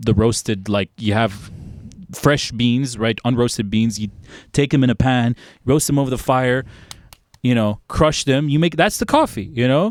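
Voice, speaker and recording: With an American accent and an ordinary speaking voice, a man talks at a moderate pace and medium pitch, with ordinary pitch variation and a dry, close sound with no echo. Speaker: podcast host, classical composer. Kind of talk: casual chat. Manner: casual, filler-heavy.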